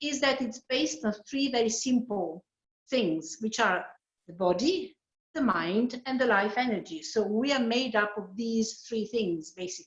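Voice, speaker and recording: A woman's somewhat breathy, fairly high voice with lively intonation at a fairly slow pace. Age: 60s. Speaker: yoga practitioner. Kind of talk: testimony.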